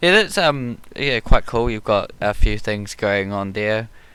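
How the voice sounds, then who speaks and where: On a very clean recording with a silent background, a man with a slight New Zealand accent and a bright, sharp tone speaks at a fairly slow pace. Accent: New Zealand, mild, some hear American. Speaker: YouTube art channel host. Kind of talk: casual chat. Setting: live stream while painting.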